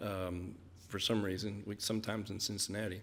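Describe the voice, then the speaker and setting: A man is speaking. He has a Kentucky accent. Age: 50s. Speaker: missionary. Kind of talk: mission report presentation.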